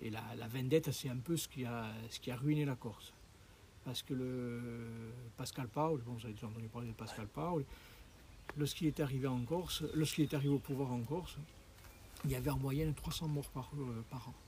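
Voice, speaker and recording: A man's somewhat breathy voice has a dark, mellow tone, medium pitch and ordinary pitch variation. He keeps a moderate pace broken by long, frequent pauses. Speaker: local host guiding hikers. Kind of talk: casual chat. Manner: hesitant.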